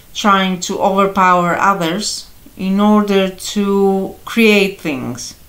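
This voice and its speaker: A woman with a Greek accent, medium in pitch, with audible room echo. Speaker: astrology and tarot youtuber. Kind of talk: tarot reading monologue. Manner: halting, many fillers.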